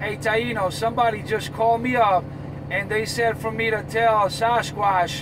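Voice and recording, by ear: Clear background noise sits behind a man with a high pitch. He talks at a fairly slow pace with fairly even intonation.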